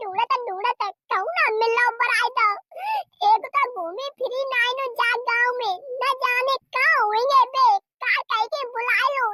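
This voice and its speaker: A woman puts on a cartoonish character voice at an extremely high pitch. Her intonation is fairly even, with long, frequent pauses. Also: moderate pace. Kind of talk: rustic village comedy.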